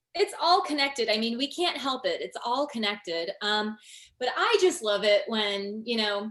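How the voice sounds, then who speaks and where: A woman with an American accent speaks at a moderate pace, her high voice making very wide pitch swings. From US Midwest, northwest Indiana. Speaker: yoga teacher and energy healer. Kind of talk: casual interview chat.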